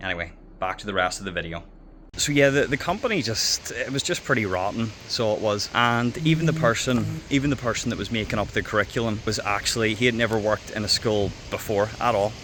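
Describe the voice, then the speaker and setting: A man speaks with a Northern Irish accent at a medium pitch. His tone is bright and sharp, and his pace is very fast. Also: ordinary pitch variation. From Northern Ireland. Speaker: former English teacher. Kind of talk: casual talk to camera. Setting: outdoors.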